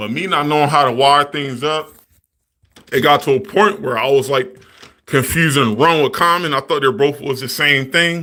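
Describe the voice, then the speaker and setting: Bright and sharp, a man's fairly high voice moves with ordinary pitch variation. The recording is very clean, with a silent background. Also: moderate pace. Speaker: HVAC technician streamer. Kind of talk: live stream tutorial. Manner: casual, profane.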